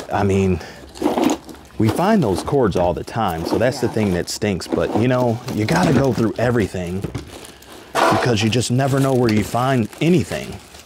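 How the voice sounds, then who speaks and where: A man talks at a moderate pace. The sound is dry with no echo, though loud background noise runs underneath. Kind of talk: casual vlog chat. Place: garage. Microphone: phone near.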